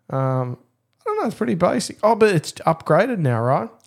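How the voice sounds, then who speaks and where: A man talks with an Australian accent and lively intonation. The recording is very clean, with a silent background. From suburban Melbourne, Australia. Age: 30s. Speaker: fishing podcast co-host. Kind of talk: casual chat. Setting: studio.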